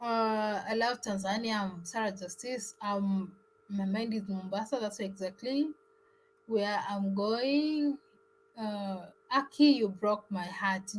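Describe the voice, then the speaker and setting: Speaking at a very slow pace, a woman uses a medium pitch. Her pitch variation is ordinary. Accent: East African. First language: Swahili. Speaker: travel vlogger. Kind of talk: live stream chat. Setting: live stream.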